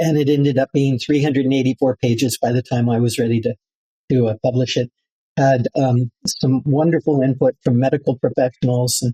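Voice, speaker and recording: With a dark, mellow tone and a somewhat breathy quality, a man speaks at a moderate pace and medium pitch, his intonation fairly even and his loudness very even, in a dry, close sound with no echo. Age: 70s. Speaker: building biologist and author. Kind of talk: interview. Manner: halting, many fillers.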